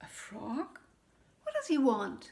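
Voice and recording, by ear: A woman does a put-on character voice, high-pitched and slow, with a slightly mellow tone. Her pitch swings very widely, and vocal fry comes through.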